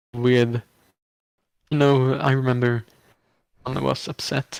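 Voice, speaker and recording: With a non-native accent, a man talks at a fairly slow pace and medium pitch, his intonation fairly even and the sound dry and close with no echo. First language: not English. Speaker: online reality game contestant. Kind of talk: casual chat. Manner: halting.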